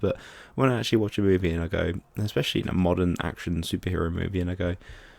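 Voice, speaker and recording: Very deep and low in pitch, a man with an English accent speaks at a very fast pace. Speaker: film reviewer. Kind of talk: casual video review. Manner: animated.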